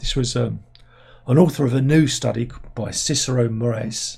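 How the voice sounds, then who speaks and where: Using a put-on character voice, a man speaks raspy and hoarse at medium pitch and a moderate pace with fairly even intonation. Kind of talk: casual, presenting.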